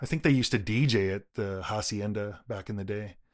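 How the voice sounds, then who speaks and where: The man uses an ordinary speaking voice at a moderate pace, with ordinary pitch variation. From Toronto suburbs, Canada. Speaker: electronic music composer. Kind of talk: interview. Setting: remote recording.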